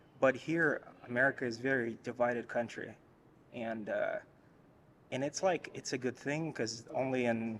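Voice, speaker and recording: A man talks slowly-ish, at a fairly slow pace, in a Russian accent with fairly even intonation. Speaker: interviewee. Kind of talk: casual chat. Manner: halting.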